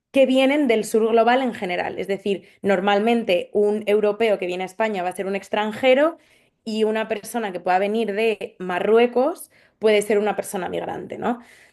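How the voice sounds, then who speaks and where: A woman with a Madrid accent speaks at a moderate pace, her fairly high pitch moving with ordinary variation. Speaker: social anthropologist. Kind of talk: panel discussion. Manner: hesitant, with fillers.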